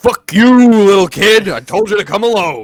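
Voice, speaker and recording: A female-sounding voice is at medium pitch for a woman. It is a put-on character voice. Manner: yelling.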